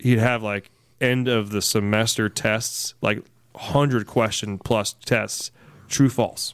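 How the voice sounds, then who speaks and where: A man's medium-pitched voice in an American accent, very slow in pace and fairly even in intonation, on a very clean recording with a silent background. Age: 30s. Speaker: diesel podcast co-host. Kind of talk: casual chat.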